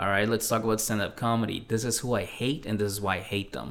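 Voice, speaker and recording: A man at a very fast pace, fairly low in pitch, with fairly even intonation. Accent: American. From Mexico City, then South Shore of Massachusetts. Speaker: stand-up comedian. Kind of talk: casual chat.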